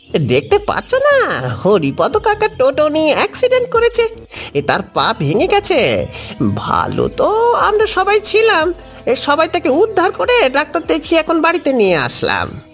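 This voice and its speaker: A cartoonish character voice sits at an extremely high pitch. Clear music plays in the background. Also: moderate pace. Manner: fast, excitable.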